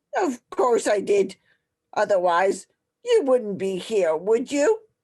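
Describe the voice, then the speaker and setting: A woman performs a put-on character voice at a fairly high pitch and a fairly slow pace, with lively intonation. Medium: audio drama. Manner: imperious, scornful.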